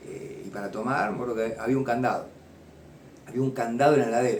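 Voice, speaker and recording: A man with an Argentine accent talks very fast at a medium pitch. Audible room echo surrounds his voice. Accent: Rioplatense Argentine Spanish. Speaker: former addict turned recovery counselor. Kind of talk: personal testimony. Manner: halting, many repetitions and fillers.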